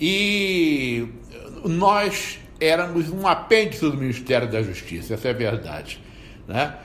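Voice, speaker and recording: Over noticeable background noise and audible room echo, a man speaks at a very slow pace with lively intonation. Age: 60s. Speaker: federal prosecutor. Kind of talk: interview testimony. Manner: halting.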